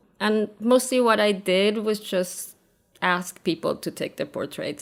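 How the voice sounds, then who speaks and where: Through vocal fry, a woman speaks at a fairly slow pace with ordinary pitch variation on a very clean recording with a silent background. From Argentina. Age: 50s. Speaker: photographer. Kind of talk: interview.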